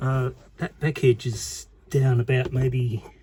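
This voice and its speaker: This man's voice sits at a medium pitch, somewhat breathy, with a dark, mellow tone. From Australia. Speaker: DIY video maker. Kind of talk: tutorial. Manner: casual, halting.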